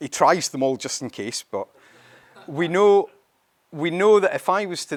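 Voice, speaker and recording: A man with a Scottish accent at a moderate pace, ordinary pitch variation, in a dry, close sound with no echo. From Scotland. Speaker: company CEO presenting a product. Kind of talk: conference presentation. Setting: stage with audience at event.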